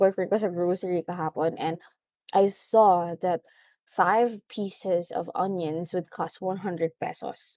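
A woman speaks at a fairly slow pace in a medium pitch with ordinary pitch variation, her dark, mellow tone captured in a dry, close sound with no echo on a very clean recording with a silent background. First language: Tagalog. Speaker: podcast host. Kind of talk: casual monologue.

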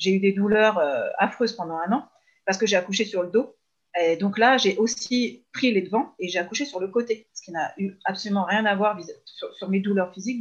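A woman speaks at a moderate pace with a medium pitch and ordinary pitch variation. Her voice is somewhat breathy, and its loudness swings widely. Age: 30s. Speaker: mother who works with parents. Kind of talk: casual interview. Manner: hesitant, many fillers.

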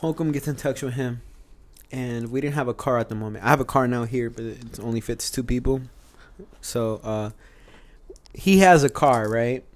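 An ordinary speaking voice, this man talks with an American accent at a medium pitch, a moderate pace and fairly even intonation. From US South, Charlotte, North Carolina. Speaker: air force airman. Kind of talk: casual chat.

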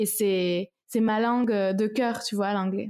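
Speaking very slowly, a woman uses a fairly high pitch. Her intonation stays monotone and flat. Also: very clean recording, silent background. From France, Toulouse. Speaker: singer-songwriter. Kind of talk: interview. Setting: at home, apartment.

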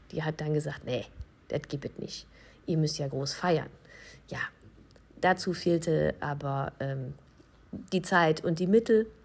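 Pausing often and at length, a woman speaks at a fairly slow pace in a very deep, low pitch with ordinary pitch variation. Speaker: wedding officiant and podcast host. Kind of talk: casual monologue.

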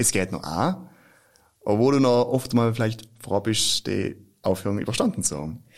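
Using a plain, everyday voice, a man of medium pitch speaks at a moderate pace with lively intonation. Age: 20s. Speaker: actor. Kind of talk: casual chat.

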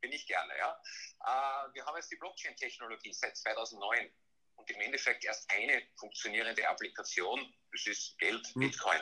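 A man talks at a moderate pace, stopping often for long pauses. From Austria, Graz (Styria). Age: 30s. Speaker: blockchain consultant. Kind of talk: podcast interview.

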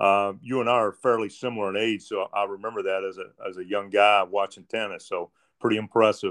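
A fairly quick, flat monotone from a man with a fairly low pitch. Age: 60s. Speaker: podcast host, tennis player. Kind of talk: interview. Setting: remote call.

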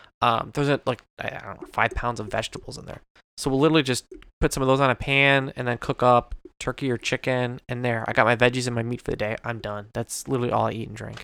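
In a very clean recording with a silent background and a dry, close sound with no echo, a man of medium pitch mumbles at a very fast pace in a bright, sharp, playful tone, his intonation flat and monotone while his loudness swings widely. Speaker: podcast co-host. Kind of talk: casual chat. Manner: fast talker, mumbles; joking, playful.

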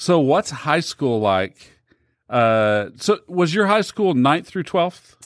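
On a very clean recording with a silent background, a man with a fairly high pitch speaks at a very slow pace with very wide pitch swings. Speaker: podcast co-host. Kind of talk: casual chat, interview.

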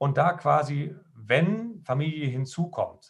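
This man's voice sits at a fairly high pitch. It sounds somewhat breathy. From western Germany, Lower Rhine (Krefeld). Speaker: pastor. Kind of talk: casual chat.

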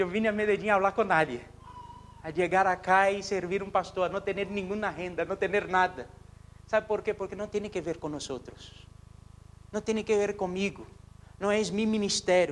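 A man speaks at a moderate pace with a high pitch. His speech has long, frequent pauses. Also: fairly even intonation. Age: 30s. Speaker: pastor. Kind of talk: sermon.

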